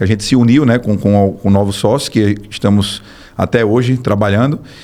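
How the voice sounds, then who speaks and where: A plain, everyday voice from a man, medium in pitch, at a fairly quick pace with ordinary pitch variation. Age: 30s. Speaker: business owner, builder. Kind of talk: podcast interview.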